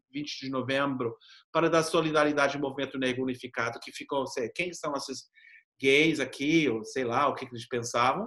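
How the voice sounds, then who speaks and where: A man with a non-native accent speaks at a moderate pace in a bright, sharp tone. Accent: foreign accent in Portuguese. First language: English (speaking Portuguese). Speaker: professor and activist. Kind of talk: interview. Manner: halting, with repetitions.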